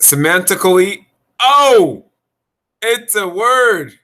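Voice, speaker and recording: Over a silent background in a very clean recording, a man projects a raised voice with lively intonation at a very slow pace. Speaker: spiritual video blogger. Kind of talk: casual monologue. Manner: halting.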